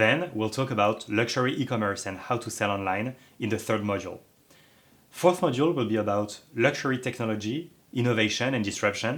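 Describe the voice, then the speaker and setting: Talking at a fairly quick pace, a man with a medium pitch and a slight French accent uses ordinary pitch variation. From France. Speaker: online course instructor. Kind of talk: lecture.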